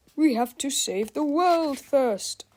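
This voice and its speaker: A put-on character voice, high in pitch. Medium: read story. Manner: earnest, naive.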